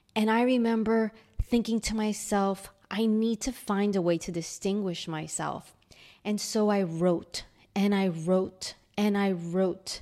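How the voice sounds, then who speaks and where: With a New York accent, a woman speaks slowly-ish, fairly slow in pace, in a dark, mellow tone at medium pitch with fairly even intonation. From New York City (Queens). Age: 40s. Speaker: podcaster. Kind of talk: personal storytelling.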